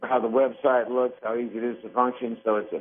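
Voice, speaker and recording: At a very fast pace, a man speaks in a medium pitch. His intonation stays monotone and flat. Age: 60s. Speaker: furniture store owner. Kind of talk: radio interview.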